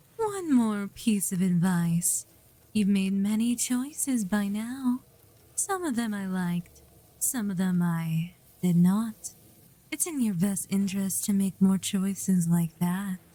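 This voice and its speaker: Using a put-on character voice, a woman speaks at a fairly slow pace and a medium pitch. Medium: virtual streamer. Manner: cryptic, solemn.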